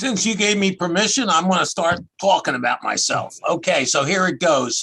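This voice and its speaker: A man with a Philadelphia accent and a bright, sharp tone, at a fairly slow pace. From US Northeast, outside Philadelphia. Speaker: accountant and tax expert. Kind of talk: interview. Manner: casual, conversational.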